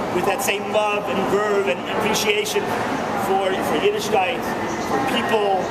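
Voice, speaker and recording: At a moderate pace, a man talks through loud background noise. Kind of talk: eulogy remarks. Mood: emotional, reverent remembrance. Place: station. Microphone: phone near.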